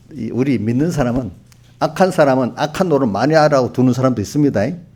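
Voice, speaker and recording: Lively intonation from a man with a dark, mellow tone. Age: 70s. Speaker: pastor. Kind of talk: sermon. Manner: conversational, addresses congregation directly.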